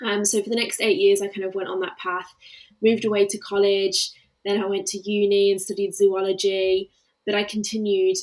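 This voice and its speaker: The speaker has an English Midlands accent. The pace is fairly quick. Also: woman. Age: 20s. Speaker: grief coach. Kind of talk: interview about personal grief.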